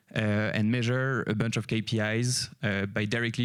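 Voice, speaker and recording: A French accent at a moderate pace, fairly even intonation, and a very clean recording with a silent background. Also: man. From France. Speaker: company CEO, conference speaker. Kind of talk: conference talk. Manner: hesitant, many fillers.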